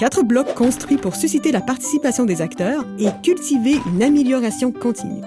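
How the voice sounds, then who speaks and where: Over music in the background, a woman with a high pitch speaks at a moderate pace in an upbeat, confident tone. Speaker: voice actor. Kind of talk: corporate narration. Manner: upbeat, dynamic, confident.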